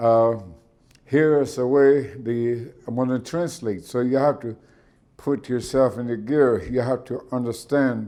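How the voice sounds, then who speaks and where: With an American accent, a man of medium pitch speaks fairly slowly in a dark, mellow tone with fairly even intonation. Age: 70s. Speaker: spiritual elder. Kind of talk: talk to an audience. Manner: halting.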